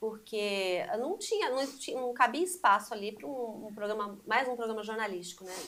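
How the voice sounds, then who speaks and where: A woman with an unremarkable speaking voice and a fairly high pitch talks at a moderate pace with hardly any pauses, lively intonation, and big swings in loudness. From Brazil, Mogi das Cruzes, São Paulo state. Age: 60s. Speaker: journalist. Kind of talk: casual chat.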